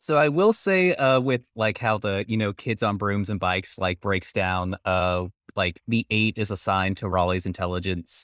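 A man with an ordinary speaking voice talks at a moderate pace and fairly low pitch, with ordinary pitch variation and hardly any pauses, in a very clean recording with a silent background and a dry, close sound with no echo. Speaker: podcast co-host and player. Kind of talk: casual banter, podcast Q and A. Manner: jokey, casual.

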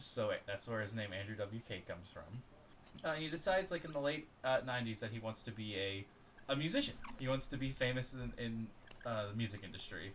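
He has an unremarkable speaking voice, pitched at a medium level. His intonation is lively and his pace fairly quick. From Florida, US. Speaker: podcast co-host. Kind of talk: casual chat.

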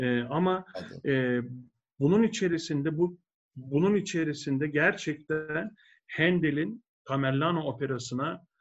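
A man with a normal speaking voice talks at a fairly slow pace, his pitch varying in an ordinary way. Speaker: opera tenor. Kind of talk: casual interview.

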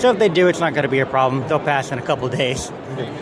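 Over audible room echo and noticeable background noise, a man talks at a very fast pace with ordinary pitch variation. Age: 20s. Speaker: toy company representative. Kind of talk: sales pitch.

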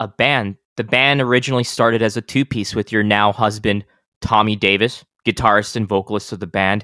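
A normal speaking voice with an American accent moves at a moderate pace, its intonation fairly even. The sound is dry and close with no echo, on a very clean recording with a silent background. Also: man. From El Paso, Texas. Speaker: podcast host. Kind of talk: casual interview; scripted outro.

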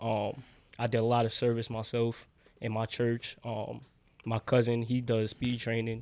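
Speaking at a fairly slow pace, a man with a New York accent keeps a monotone, flat intonation. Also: medium pitch for a man. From New York City, Brooklyn. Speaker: college football player. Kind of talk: casual chat.

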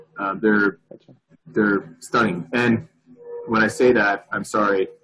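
A man with music in the background. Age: 50s. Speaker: wheel company executive. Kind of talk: interview. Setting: video call.

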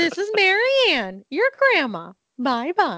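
A put-on character voice. Its pitch swings very widely. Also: woman.

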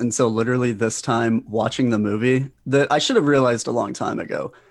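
Recorded very cleanly against a silent background, a man with an ordinary speaking voice talks fairly quickly at a medium pitch. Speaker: comedian and writer. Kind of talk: casual chat.

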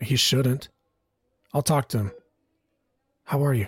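A man puts on a character voice, raspy and at a medium pitch, delivered at a moderate pace. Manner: tired, reassuring.

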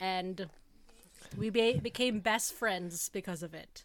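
This is a plain, everyday voice with a Canadian accent. It moves at a fairly slow pace with ordinary pitch variation. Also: woman. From Canada, Toronto. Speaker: podcast host. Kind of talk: casual chat.

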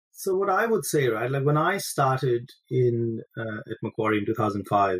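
A somewhat breathy man at a moderate pace, in a dry, close sound with no echo. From India. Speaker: finance executive, former tennis player. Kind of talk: interview. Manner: halting, many fillers.

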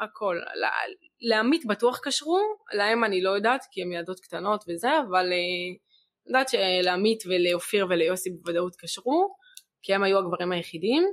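A woman speaks at a moderate pace with a medium pitch and ordinary pitch variation. Hers is an unremarkable speaking voice. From Israel, Gaza border kibbutz. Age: young. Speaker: sister of a hostage, evacuee. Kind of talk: testimony. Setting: studio, filmed.

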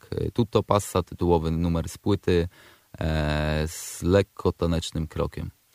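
Fairly slow and monotone with flat intonation, a man speaks with big swings in loudness, in a dry, close sound with no echo on a very clean recording with a silent background. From Poland, Przemyśl area (south-east). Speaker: rapper. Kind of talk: radio interview. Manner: halting, many repeated words.

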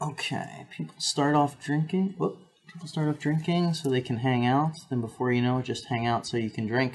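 A man with an American accent speaks at a moderate pace and a fairly high pitch. His voice is somewhat breathy, with ordinary pitch variation. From New Jersey. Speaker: podcast co-host. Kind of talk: casual chat. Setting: live stream.

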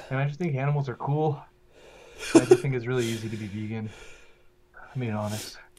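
A man's dark, mellow, somewhat breathy voice sits at a medium pitch with ordinary pitch variation and big swings in loudness. He talks at a very fast pace but leaves long, frequent pauses. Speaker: vegan podcaster. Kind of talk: casual chat.

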